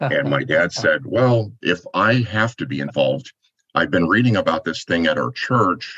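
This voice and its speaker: A man talks at a moderate pace in a medium pitch, his tone bright and sharp. His intonation is lively, and vocal fry comes through. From Michigan, US. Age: 60s. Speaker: ministry organization president. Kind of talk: interview.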